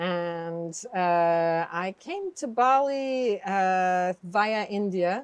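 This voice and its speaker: Speech in a Quebec accent at a very slow pace, with ordinary pitch variation and hardly any pauses. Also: woman, medium pitch for a woman. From Quebec, Canada (Montreal). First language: French. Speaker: clairvoyant healer. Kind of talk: interview conversation. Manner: hesitant, with fillers.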